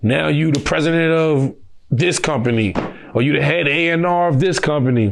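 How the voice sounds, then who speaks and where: A man speaks with lively intonation. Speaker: nightlife business co-owner. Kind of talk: interview. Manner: casual, unfiltered street speech.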